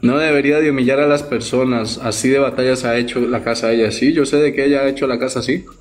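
A man talks at a very fast clip with hardly any pauses. His delivery is monotone and flat, and his loudness stays very even. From Costa Rica. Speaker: streamer's companion. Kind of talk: casual live stream chat. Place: home room. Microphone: phone near.

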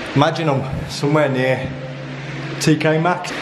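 A man's monotone, flat intonation amid noticeable background noise. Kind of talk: casual vlog commentary. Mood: uneasy, slightly creeped out. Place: tunnel cave. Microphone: phone near.

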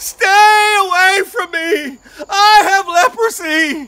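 A woman's put-on character voice, extremely high-pitched and very slow. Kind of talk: dramatic storytelling. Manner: desperate warning.

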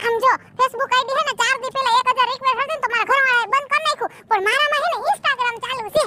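A cartoonish character voice from a woman, extremely high-pitched and very fast, with a dry, close sound and no echo. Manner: nervous.

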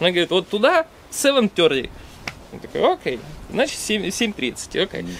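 Amid light background noise, a high-pitched man speaks at a fairly slow pace with very wide pitch swings and long, frequent pauses. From Russia. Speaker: stream moderator and traveler; stream moderator. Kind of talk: casual chat. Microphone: camera far.

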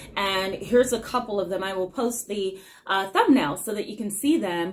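Light background noise is present as a woman talks at moderate speed, her pitch varying in an ordinary way. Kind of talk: casual educational talk to camera. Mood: warm, calm. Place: office. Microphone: phone near.

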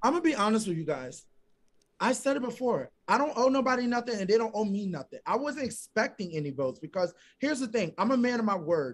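Very fast and animated, a man talks at a high pitch with very wide pitch swings. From Philadelphia, US. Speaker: reality TV contestant; guest. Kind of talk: casual interview; interview answer. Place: home room. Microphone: video call.

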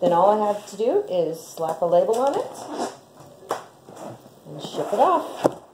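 At a very slow pace, a woman speaks over noticeable background noise. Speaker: small poultry seller. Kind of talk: tutorial. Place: kitchen. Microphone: phone near.

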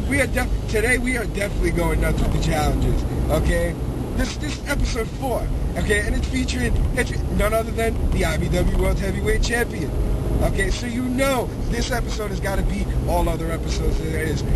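A man at a fairly quick pace, dry sound with no echo, loud noise in the background. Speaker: wrestling-style video host. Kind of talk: trash-talk promo. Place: car.

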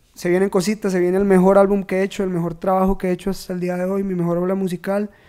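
A man with a high-pitched voice and a dark, mellow tone. The background is quiet. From Costa Rica, Turrialba; Costa Rica. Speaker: trap musician; guest. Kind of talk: casual chat. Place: studio. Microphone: studio mic.

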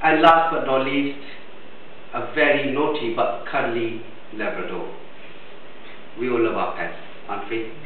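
A man at a fairly high pitch with ordinary pitch variation, fairly slow and with long, frequent pauses, amid audible room echo and light background noise. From India. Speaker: biomedical engineer giving a speech at a speakers club. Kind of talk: prepared speech. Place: meeting room. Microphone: camera far.

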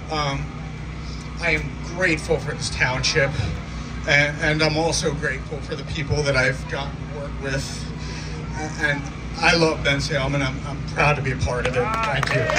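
Loud background noise sits behind a man who talks at a moderate pace, with long, frequent pauses. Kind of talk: acceptance speech. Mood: moved, grateful. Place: stage.

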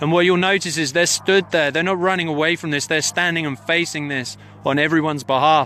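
A man's fairly high voice at a fairly quick pace, with fairly even intonation, dry sound with no echo and light background noise. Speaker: citizen journalist livestreaming a protest; witness. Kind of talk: live commentary. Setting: outdoors on a hilltop, mobile livestream. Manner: urgent, emphatic. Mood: urgent, indignant. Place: open country. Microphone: phone near.

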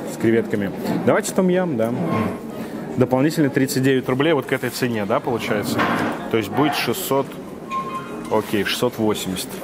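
A man talks at a fairly quick pace. Behind him, music plays in the background. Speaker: food vlogger reviewing a cafe lunch. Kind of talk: casual vlog chat, ordering from a waiter. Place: cafe. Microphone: lapel.

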